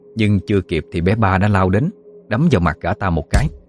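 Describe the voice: The passage is read aloud plainly, and the pitch moves in an ordinary way.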